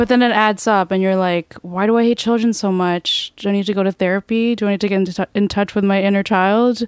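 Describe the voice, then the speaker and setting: Against a quiet background, a woman rushes along at a very fast pace with hardly any pauses, in a medium pitch and monotone, flat intonation. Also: very even loudness, dry, close sound with no echo. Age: 20s. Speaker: poet and comedian. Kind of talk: casual chat.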